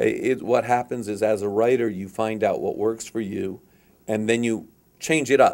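In a normal speaking voice, the speaker keeps a moderate pace and fairly even intonation. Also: man. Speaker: interviewee. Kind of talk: interview answer. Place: meeting room. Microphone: handheld.

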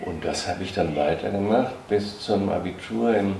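Through light background noise and audible room echo, a man with a very deep, low pitch and ordinary pitch variation talks at a fairly slow pace. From Germany, Hesse. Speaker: former dancer; witness. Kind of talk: interview reminiscence. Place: home room.

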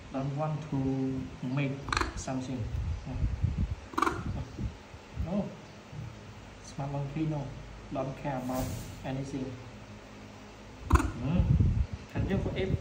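A man at a very slow pace with long, frequent pauses, against loud background noise. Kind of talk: casual talk to a pet. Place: home room. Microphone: phone near.

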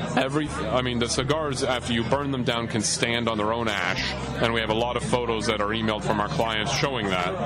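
Over clear music in the background, the speech moves at a fairly quick pace with hardly any pauses, the sound dry with no echo. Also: man. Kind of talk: interview answer. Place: bar.

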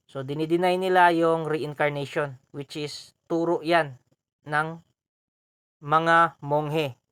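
At a very slow pace, a man with a fairly high pitch speaks in a monotone, flat intonation. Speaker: YouTube host answering viewer questions on esoteric topics. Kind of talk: Q&A monologue video.

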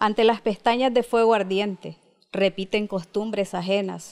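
A woman's fairly high voice with a Nicaraguan accent, over a quiet background. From Managua, Nicaragua. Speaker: poet. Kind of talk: interview with poem reading. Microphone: handheld.

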